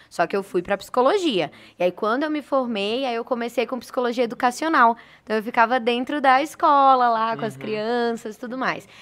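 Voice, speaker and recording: Her voice is high for a woman, moving at a fairly quick pace with ordinary pitch variation in a very clean recording with a silent background. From Brazil, Northeast (Recife). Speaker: communication school director. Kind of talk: interview chat.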